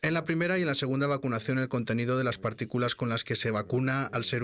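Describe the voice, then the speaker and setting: Here a man talks at a fairly quick pace and medium pitch. He has a plain, everyday voice with ordinary pitch variation. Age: 60s. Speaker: vaccine scientist. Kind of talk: interview. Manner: formal.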